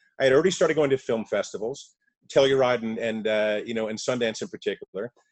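A man talks at a very fast pace. The sound is dry and close, with no echo. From New York. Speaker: entertainment lawyer and film producer. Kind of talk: casual interview.

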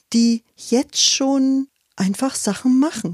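A woman speaks at a very slow pace in a dark, mellow, somewhat breathy tone with lively intonation, and the sound is dry and close with no echo. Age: 50s. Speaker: forest educator and workshop leader. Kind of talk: interview. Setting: at her home.

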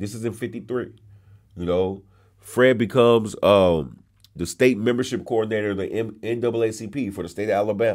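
In an American accent, the speaker talks at a fairly quick pace with fairly even intonation. It is an ordinary speaking voice, in a very clean recording, silent background. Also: man, medium pitch for a man. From California, San Bernardino. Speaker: museum education director and historian. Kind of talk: interview, storytelling history.

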